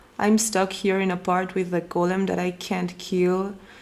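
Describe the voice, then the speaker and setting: Fairly slow speech from a woman at a medium pitch, audible room echo around it. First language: Spanish. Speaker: cooking vlogger. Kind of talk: cooking tutorial. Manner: casual, some hesitations.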